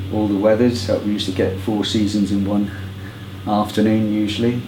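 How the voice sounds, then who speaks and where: A man speaks at a moderate pace with a fairly low pitch. Noticeable background noise and audible room echo surround his voice. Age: 70s. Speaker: football fan. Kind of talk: oral history interview. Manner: hesitant with many fillers.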